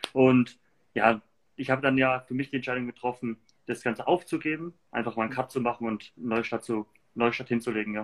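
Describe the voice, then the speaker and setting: With a Franconian accent, the speaker talks at a fairly quick pace with fairly even intonation. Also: man, medium pitch for a man. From Germany, Würzburg (Lower Franconia). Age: 20s. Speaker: entrepreneur. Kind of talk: casual interview. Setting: livestream.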